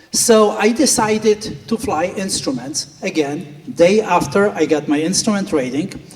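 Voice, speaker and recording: Noticeable background noise sits under a man with a Polish accent. His pitch is high, and his intonation is lively. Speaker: flight school owner and flight instructor. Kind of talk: speech at a gala.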